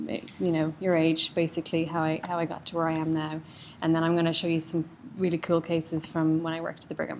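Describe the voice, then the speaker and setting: Delivered in an Irish accent, the speech comes at a very fast pace with monotone, flat intonation. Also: woman, fairly low pitch for a woman. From Ireland, County Louth. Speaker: cardiologist. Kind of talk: lecture.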